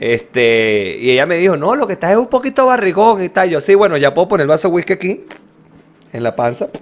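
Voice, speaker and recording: A man talks at a fairly quick pace with a Venezuelan accent. His pitch is high, with very wide pitch swings. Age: 20s. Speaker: podcast co-host. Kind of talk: casual chat. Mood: joking, animated. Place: home room. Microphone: studio mic.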